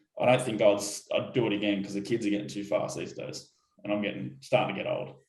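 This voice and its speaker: In an Australian accent, a man with a fairly low pitch speaks very fast amid audible room echo. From Australia, Sydney. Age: 30s. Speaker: motorcycle racer. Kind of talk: interview. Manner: halting.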